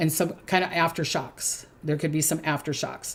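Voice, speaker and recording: This woman talks with a Minnesotan accent. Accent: Minnesota. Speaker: psychic. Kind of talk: predictions monologue. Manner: hesitant, many fillers.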